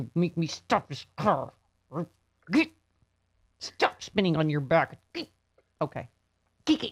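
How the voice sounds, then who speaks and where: A woman's put-on character voice, fairly low in pitch, with lively intonation, a fairly slow pace and long, frequent pauses. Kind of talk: exasperated parent. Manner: scolding.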